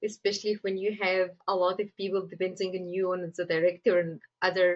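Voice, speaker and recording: A woman with an Egyptian accent. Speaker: screenwriter. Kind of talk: interview.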